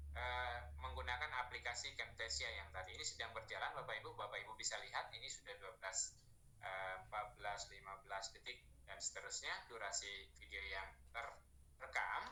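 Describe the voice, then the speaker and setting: The room echo is audible. A man talks at a fairly quick pace. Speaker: online training presenter. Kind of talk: tutorial.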